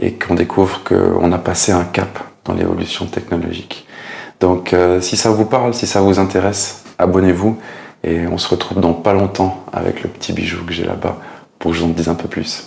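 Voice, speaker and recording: Through noticeable background noise, a man speaks with a very deep, low pitch and fairly even intonation. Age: 40s. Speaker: tech YouTuber. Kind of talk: channel introduction to camera. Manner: casual with frequent hesitations.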